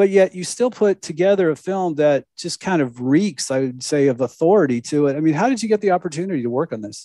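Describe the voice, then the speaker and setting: A man speaks with an American accent and lively intonation, barely pausing. The sound is dry and close, with no echo. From Southern California. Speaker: podcast host. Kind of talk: interview.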